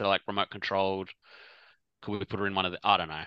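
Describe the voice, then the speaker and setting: A man talks with an Australian accent and a bright, sharp tone. The background is quiet. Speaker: podcast co-host.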